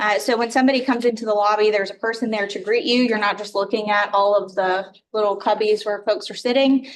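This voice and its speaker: A woman's fairly high voice at a very fast pace, with fairly even intonation. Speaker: city department director presenting budget. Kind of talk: budget presentation at council meeting. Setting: council chamber with microphones. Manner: hesitant, many filler words. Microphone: too far from mic, mic not working.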